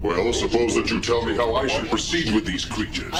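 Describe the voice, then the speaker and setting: A man's cartoonish character voice at a fairly quick pace, with slight echo and loud background noise. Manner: stiff, haughty.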